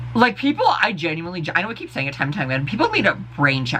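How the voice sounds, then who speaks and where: An animated tone over noticeable background noise. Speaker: vlogger. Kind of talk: casual rant to camera. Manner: fast.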